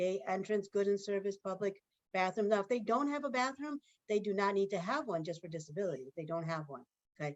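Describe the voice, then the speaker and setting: A woman talks at a very fast pace. Her voice sits at a medium pitch. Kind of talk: webinar presentation.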